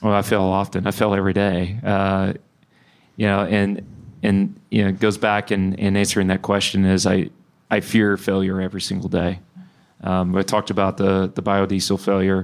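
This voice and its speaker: A man with a Texan accent and a fairly low pitch talks at a moderate pace, his intonation flat and monotone and his loudness very even. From Texas (Bryan). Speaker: energy company founder and CEO. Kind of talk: live interview. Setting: live event with audience.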